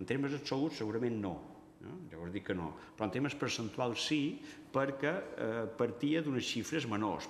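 Amid audible room echo, a man speaks at a moderate pace with lively intonation. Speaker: university geography researcher. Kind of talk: press conference presentation. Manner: halting, many fillers. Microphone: podium.

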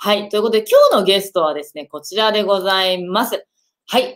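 Quiet surroundings frame a woman's speech. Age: 30s. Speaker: online video marketing coach and live-stream host. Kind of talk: casual live-stream chat. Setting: live stream video call. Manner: animated. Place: home room.

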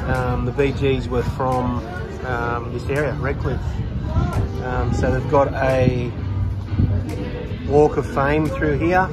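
With loud music in the background, a man speaks at a very slow pace with long, frequent pauses. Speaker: toy collecting vlogger. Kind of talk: casual vlog chat. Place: street. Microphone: phone near.

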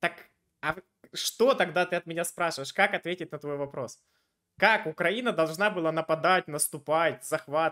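A man with a high pitch and a bright, sharp tone speaks at a moderate pace, with ordinary pitch variation. He takes long, frequent pauses against a quiet background. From Ukraine, Dnipro; Ukraine. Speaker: video chat debater and channel host; video chat debater, channel host. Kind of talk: argumentative debate with a stranger. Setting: random video chat. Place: home room. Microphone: headset.

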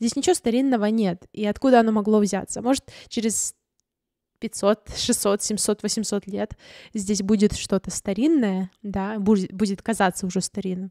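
A dark, mellow tone at a fairly slow pace, with fairly even intonation, a quiet background and a dry sound without echo. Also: woman, medium pitch for a woman. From Ukraine, Crimea (Simferopol); Crimea, Ukraine. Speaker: vlogger and photographer; vlogger. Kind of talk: vlog monologue. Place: home room. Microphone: studio mic.

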